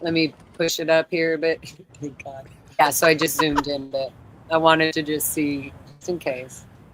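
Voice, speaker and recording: Over noticeable background noise, a woman with an American accent talks in a very deep, low register. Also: moderate pace. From Los Angeles, California. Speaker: activist and livestream host. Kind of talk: casual livestream chat. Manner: animated.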